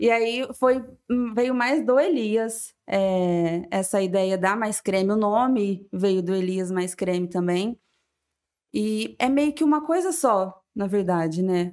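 A woman speaks at a very slow pace with a medium pitch and lively intonation. The recording is very clean, with a silent background. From São José do Rio Preto, São Paulo state. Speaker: business co-founder. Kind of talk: casual interview chat.

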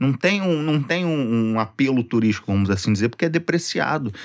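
A man talking at a fairly quick pace with very wide pitch swings, in a quiet background. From Rio de Janeiro, Zona Norte (Penha). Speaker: social media content creator. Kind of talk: casual chat.

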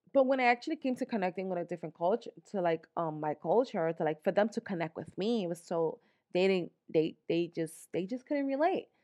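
A woman with a New York accent at a medium pitch, animated in tone with lively intonation and a fairly quick pace, in a dry, close sound with no echo and a quiet background. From New York, the Bronx. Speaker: podcast host. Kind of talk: motivational monologue.

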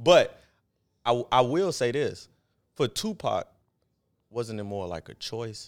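In a very clean recording with a silent background, a man speaks very slowly. His intonation is lively, broken by long, frequent pauses. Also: medium pitch for a man, big swings in loudness. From Chicago. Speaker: podcast co-host. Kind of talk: casual chat.

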